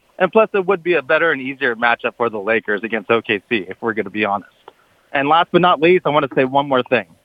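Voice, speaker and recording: This man talks at a very fast pace with an American accent. His pitch sits in the medium range but swings very widely. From Southern California, Orange County. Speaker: sports radio caller. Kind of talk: call-in sports talk. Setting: phone call.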